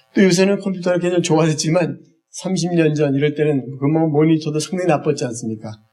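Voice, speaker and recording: Recorded with audible room echo, a man speaks at a fairly high pitch in a dark, mellow tone with ordinary pitch variation. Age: 60s. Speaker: eye health instructor, church minister. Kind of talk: lecture. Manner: halting, many fillers.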